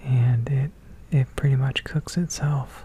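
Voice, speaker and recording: Whispering and soft-spoken, a man talks at a very slow pace. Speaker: ASMR creator. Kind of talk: casual talk to camera, cooking demo. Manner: soft-spoken, whispered. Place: kitchen.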